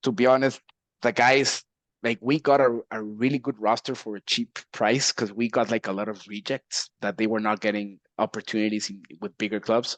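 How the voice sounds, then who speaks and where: In a Mexican accent, a man speaks at medium pitch and a moderate pace with fairly even intonation against a quiet background. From Mexico. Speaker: esports team executive. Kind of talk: casual chat.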